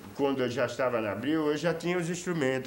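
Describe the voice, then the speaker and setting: Audible room echo around a man speaking, his pitch varying in an ordinary way. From Brazil, Pernambuco (Olinda). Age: 60s. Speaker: musician. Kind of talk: documentary interview.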